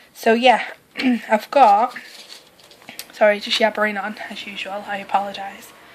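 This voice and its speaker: Long, frequent pauses break up a woman's fairly slow, monotone speech with flat intonation and a fairly high pitch. Her loudness swings widely over noticeable background noise. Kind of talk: casual vlog talk to camera. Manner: hesitant, many filler words.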